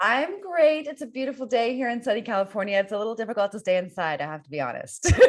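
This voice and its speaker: Fairly high in pitch, a woman talks at a very fast pace with very wide pitch swings. She hardly pauses, and background noise is noticeable. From US, Northern Virginia. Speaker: podcast host. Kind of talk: interview.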